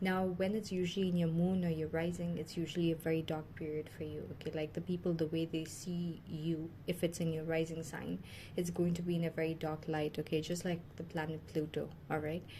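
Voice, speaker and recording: Somewhat breathy and dark, mellow in tone, a woman speaks at a fairly low pitch and a fairly quick pace with hardly any pauses and monotone, flat intonation. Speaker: tarot reader. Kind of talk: tarot reading monologue. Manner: fast; hesitant, many fillers.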